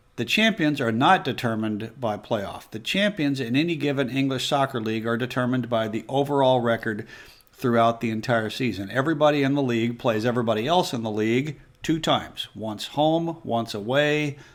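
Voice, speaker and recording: With an American accent, a man with an unremarkable speaking voice and a medium pitch talks at a fairly quick pace. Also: ordinary pitch variation. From United States. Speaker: football explainer video host. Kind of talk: explainer tutorial.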